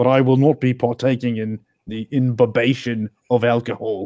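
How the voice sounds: Speaking at a fairly slow pace, a man has a medium pitch and a slightly mellow tone.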